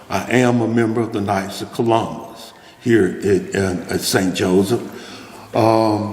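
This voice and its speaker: A man with a Mississippi accent talks at a very slow pace with hardly any pauses and fairly even intonation. Audible room echo and noticeable background noise fill the recording. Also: medium pitch for a man. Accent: US Southern, Mississippi. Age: 70s. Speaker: food pantry kitchen manager, former restaurant manager. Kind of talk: storytelling talk to an audience. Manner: halting, many fillers and repeats.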